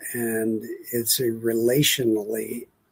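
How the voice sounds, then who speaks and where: A man is speaking. His pitch is medium. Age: 70s. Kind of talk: spoken devotional reflection. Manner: unhurried, hesitant with fillers.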